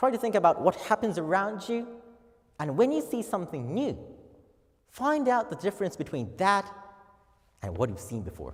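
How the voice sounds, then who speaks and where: A high-pitched man with a Japanese accent swings his pitch very widely and leaves long, frequent pauses. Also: moderate pace. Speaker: office worker. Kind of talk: speech contest oration. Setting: auditorium.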